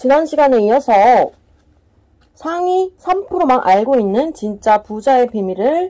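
A woman speaks at a fairly slow pace in a high, dark, mellow voice. Her pitch swings very widely. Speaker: book reader. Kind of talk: self-help book reading.

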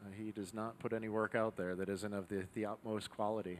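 With light background noise behind him, a man speaks at a fairly quick pace in a fairly low pitch. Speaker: demo team narrator. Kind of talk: live demonstration commentary. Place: workshop. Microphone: headset.

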